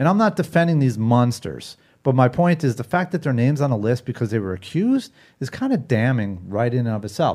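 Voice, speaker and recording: Here is a man with an ordinary speaking voice, medium in pitch, with lively intonation at a fairly quick pace. The recording is very clean, and the background is silent. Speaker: podcast host. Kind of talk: casual chat.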